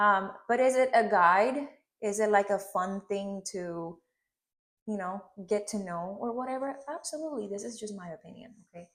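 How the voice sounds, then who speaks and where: With a slight Puerto Rican accent, a woman speaks at a moderate pace and medium pitch with ordinary variation. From Puerto Rico, Ponce. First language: Spanish. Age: 30s. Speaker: hairstylist. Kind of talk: hair tutorial with casual chat. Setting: home studio.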